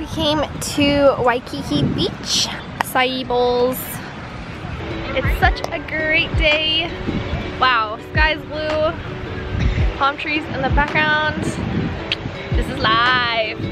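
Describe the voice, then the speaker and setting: Very slowly and with long, frequent pauses, a woman speaks with ordinary pitch variation over loud background music, the sound dry with no echo. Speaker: travel vlogger. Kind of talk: casual vlog chat. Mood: cheerful, excited. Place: beach. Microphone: phone near.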